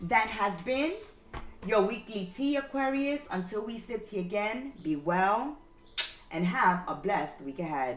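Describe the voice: Speaking at a fairly slow pace and medium pitch, a woman uses lively intonation, with audible room echo.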